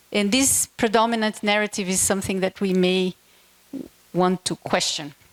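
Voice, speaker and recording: In a Portuguese accent, a woman speaks at a medium pitch with ordinary pitch variation, the sound dry and close with no echo. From Brazil. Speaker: keynote speaker, education NGO director. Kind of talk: keynote speech.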